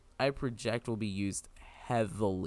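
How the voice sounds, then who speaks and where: With music playing in the background, a man speaks at a moderate pace in a fairly low voice with ordinary pitch variation. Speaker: gaming youtuber. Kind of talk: gameplay commentary.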